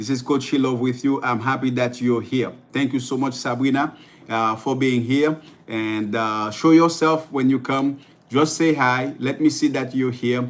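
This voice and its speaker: This man has a Haitian accent and a medium pitch. He keeps a moderate pace and fairly even intonation. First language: Haitian Creole. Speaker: life coach. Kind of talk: livestream motivational talk. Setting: live stream. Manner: halting, many fillers and repetitions.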